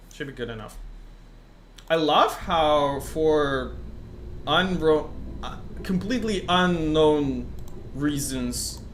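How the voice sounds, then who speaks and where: Over noticeable background noise and audible room echo, a man speaks very slowly with long, frequent pauses. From Russian-speaking country. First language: Russian. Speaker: gaming streamer. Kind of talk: live game stream commentary. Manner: casual, many fillers.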